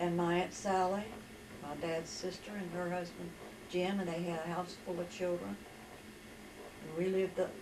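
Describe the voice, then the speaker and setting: Speaking with an Appalachian accent, a woman has a fairly low pitch and monotone, flat intonation. There's audible room echo and noticeable background noise. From West Virginia. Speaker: storyteller recounting her life. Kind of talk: life story testimony.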